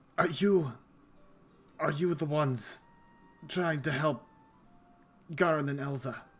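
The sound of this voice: With music in the background, a man uses a raspy, put-on character voice at a fairly high pitch, speaking at a fairly slow pace with long, frequent pauses and ordinary pitch variation.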